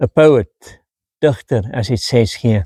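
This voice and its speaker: A man with an Afrikaans South African accent in a dry, close sound with no echo. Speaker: travel vlogger. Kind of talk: travel vlog narration.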